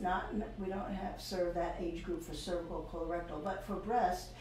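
A woman's moderately paced voice with fairly even intonation, audible room echo and light background noise. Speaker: public health program director. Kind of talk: interview. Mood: warm, informative. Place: office.

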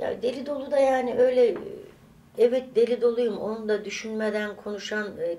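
Against light background noise, a woman speaks at a moderate pace. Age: 60s. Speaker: vlogger. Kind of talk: casual vlog monologue; casual vlog chat. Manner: animated; halting. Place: home room. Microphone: camera far.

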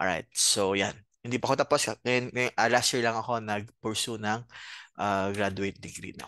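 Moderate pace from a man, bright, sharp tone, fairly even intonation, dry sound with no echo, quiet background. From Bicol, Philippines; Philippines. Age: 30s. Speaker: accounting professor and CPA; accounting professor. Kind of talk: lecture. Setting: video call. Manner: halting, many fillers. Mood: friendly, relaxed. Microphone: headset.

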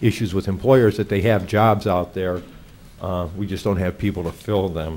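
Light background noise sits behind a man who speaks at a fairly quick pace, with a fairly low pitch and fairly even intonation. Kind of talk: meeting report. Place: meeting room. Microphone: podium.

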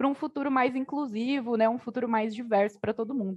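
Her pitch is fairly high, as a woman speaks with ordinary pitch variation over a quiet background. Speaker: panel moderator, tech nonprofit director; panel moderator. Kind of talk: panel discussion. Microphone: video call.

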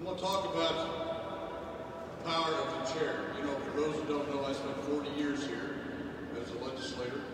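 There is audible room echo and loud background noise. Through it, a man talks at a moderate pace. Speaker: retired state senator. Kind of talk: rally speech. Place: hall. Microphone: camera far.

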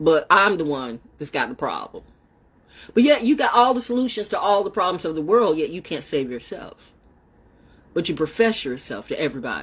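A woman speaks at a fairly quick pace in an animated tone. Her pitch swings very widely and her loudness rises and falls a lot. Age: 60s. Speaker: online broadcaster. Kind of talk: casual monologue livestream. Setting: outdoors. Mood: confrontational, defiant. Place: home room. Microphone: phone near.

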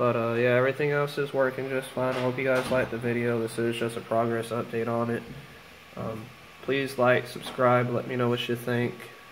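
Over noticeable background noise, a man of medium pitch speaks at a fairly quick pace with monotone, flat intonation. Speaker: video maker. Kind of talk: tutorial. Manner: casual, filler words.

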